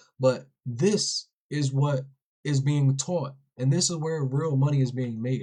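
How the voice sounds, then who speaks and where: A man's dark, mellow voice, somewhat breathy. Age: 20s. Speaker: day trading educator. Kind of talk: live-stream trading tutorial. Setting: live TikTok stream. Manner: casual, slangy.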